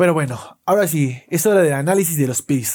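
A man talks in a high pitch with ordinary pitch variation. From Mexico. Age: 20s. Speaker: NFL podcast host. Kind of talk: solo sports analysis podcast.

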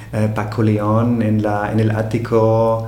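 A man with a German accent speaks at medium pitch in a monotone, flat intonation. There is noticeable background noise and audible room echo. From Austria. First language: German (speaking Spanish). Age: 40s. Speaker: hotel owner and entrepreneur. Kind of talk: interview. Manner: halting, many repetitions and fillers.

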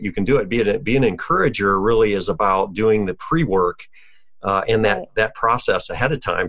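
Speaking at a fairly quick pace, a man with a medium pitch uses a plain, everyday voice. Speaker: podcast host and coach. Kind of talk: interview, conversational.

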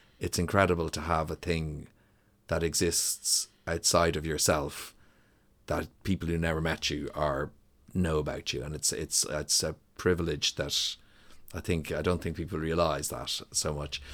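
Monotone, flat intonation at a moderate pace in a Dublin accent, on a very clean recording with a silent background. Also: man, very deep, low pitch for a man. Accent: Dublin Irish. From Ireland, Dublin (Donnybrook). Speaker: musician and songwriter. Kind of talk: casual interview.

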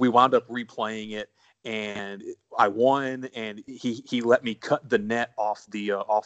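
In a dry, close sound with no echo and a quiet background, a man speaks with monotone, flat intonation. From US South, born in South Carolina, now Texas. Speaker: guest, college sports podcaster. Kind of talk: casual chat, interview.

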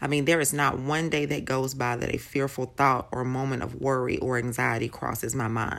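A woman with a very deep, low pitch and vocal fry talks in a warm, enthusiastic tone with hardly any pauses. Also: moderate pace. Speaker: faith podcaster. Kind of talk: devotional talk.

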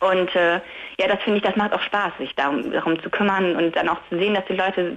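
Her pitch moves in a normal way as this woman talks very quickly. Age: 20s. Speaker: caller. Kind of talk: phone-in chat. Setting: phone call from bed.

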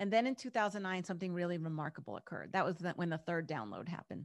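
On a very clean recording with a silent background, a woman talks in an ordinary speaking voice. Her pitch is fairly low, with ordinary variation. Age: 50s. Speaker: pharmacist and business consultant. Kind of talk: podcast interview.

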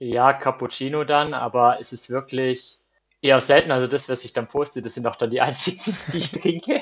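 With big swings in loudness, a man talks at a moderate pace in a plain, everyday voice, his medium pitch showing ordinary variation. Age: 30s. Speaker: marathon runner. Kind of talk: casual interview.

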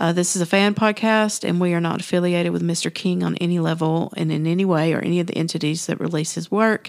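In a very clean recording with a silent background, a woman speaks at a fairly quick pace. She has a normal speaking voice, pitched fairly low. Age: 40s. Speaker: podcast host. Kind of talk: casual chat; scripted disclaimer reading.

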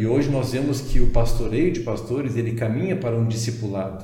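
A man's medium-pitched voice carries audible room echo along with noticeable background noise. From southern Brazil, Porto Alegre. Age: 50s. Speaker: pastor and denomination president. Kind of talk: podcast interview. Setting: studio.

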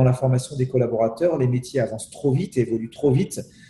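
A man's fairly high voice against noticeable background noise. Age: 40s. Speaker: CEO and business speaker. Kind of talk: interview. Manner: hesitant, with many repetitions.

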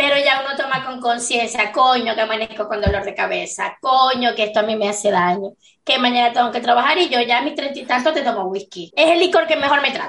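A woman with a high pitch speaks at a fairly quick pace, her pitch varying in an ordinary way. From Venezuelan Andes. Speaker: podcast co-host. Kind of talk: casual chat.

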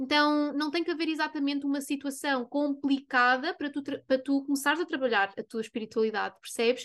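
With a European Portuguese accent, the speaker goes at a moderate pace with ordinary pitch variation against a quiet background. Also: woman. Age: 20s. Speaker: spiritual coach and podcast host. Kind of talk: casual monologue.

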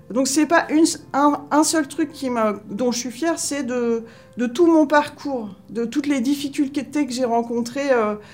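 Speaking at a fairly slow pace, a woman with a high voice and ordinary pitch variation is heard against noticeable background noise. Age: 40s. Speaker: municipal groundskeeper. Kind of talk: interview testimony. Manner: halting, many hesitations.

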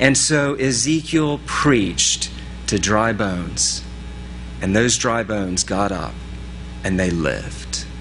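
With music in the background and audible room echo, a man with an American accent speaks at a very slow pace in a very deep, low pitch, his voice swinging very widely and broken by long, frequent pauses. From US East Coast big city. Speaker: pastor. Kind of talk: sermon.

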